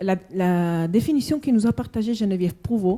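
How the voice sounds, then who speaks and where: This is a woman with a Spanish accent. Her pitch varies in an ordinary way. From Spanish-speaking country. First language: Spanish (speaking French). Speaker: conference participant. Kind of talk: panel discussion. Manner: halting.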